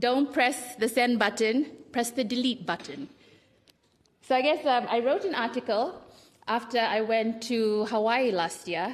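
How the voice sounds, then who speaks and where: Speaking at a fairly slow pace with a Fijian accent, a woman uses a fairly high pitch with ordinary variation. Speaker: writer and small publisher. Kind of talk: festival panel talk.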